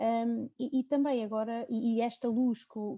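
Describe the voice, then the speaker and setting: Close and dry with no echo, a woman's dark, mellow voice sits at a fairly high pitch, moving at a fairly slow pace with fairly even intonation. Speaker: neurologist, sleep medicine specialist. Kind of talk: video conference panel discussion. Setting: video call.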